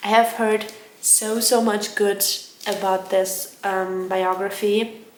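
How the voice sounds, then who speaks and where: A woman's medium-pitched, monotone, flat delivery in a German accent, with audible room echo. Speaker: book vlogger. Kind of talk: casual vlog talk. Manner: hesitant, filler-heavy.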